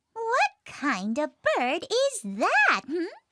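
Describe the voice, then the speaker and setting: A squeaky, cartoonish character voice at an extremely high pitch lurches through very wide pitch swings. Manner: sneering, scornful.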